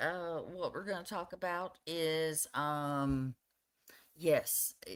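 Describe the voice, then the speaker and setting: At a very slow pace, a woman with a fairly low pitch keeps a fairly even intonation on a very clean recording with a silent background. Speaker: live streamer. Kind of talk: casual chat. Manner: soft-spoken.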